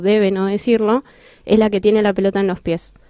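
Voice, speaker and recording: Her voice is fairly high-pitched with a dark, mellow tone, the voice of a woman. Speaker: blind football player and psychologist. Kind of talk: interview. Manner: halting.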